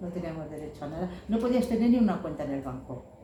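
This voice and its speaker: Amid noticeable background noise and audible room echo, a woman speaks at medium pitch with lively intonation. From Spain, Madrid. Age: 70s. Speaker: activist for historical memory. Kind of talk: talk to an audience. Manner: conversational.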